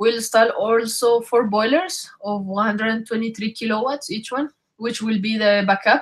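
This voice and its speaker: A woman's fairly high voice with a Spanish accent, at a fairly slow pace and with ordinary pitch variation. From Colombia. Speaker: engineer presenting a solar project. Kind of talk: webinar presentation. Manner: halting with fillers.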